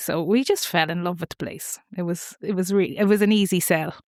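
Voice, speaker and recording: A woman with an Irish accent speaks at a moderate pace in a medium pitch. The very clean recording has a silent background and a dry, close sound with no echo. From Ireland, Wicklow then Boyle, Co. Roscommon. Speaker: family constellations facilitator. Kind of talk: podcast interview.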